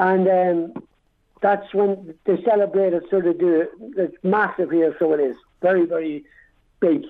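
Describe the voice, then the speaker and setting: A man with an Irish accent speaks at a high pitch and a moderate pace, his loudness very even, with long, frequent pauses. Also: ordinary pitch variation. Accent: Dundalk Irish, kept. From Dundalk, Ireland. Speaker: army veteran. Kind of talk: interview. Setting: phone call.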